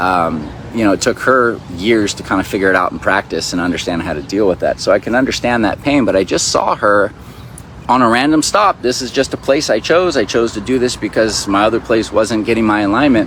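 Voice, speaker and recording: A man at medium pitch with lively intonation and a fairly quick pace, over noticeable background noise. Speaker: spiritual teacher. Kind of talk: casual vlog monologue. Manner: fast; animated.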